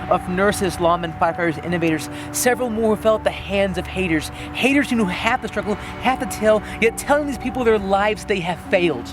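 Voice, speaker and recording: Music plays in the background as a man talks at a moderate pace. His voice is high for a man, with lively intonation. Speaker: slam poet. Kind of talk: slam poetry performance. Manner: earnest, emotional.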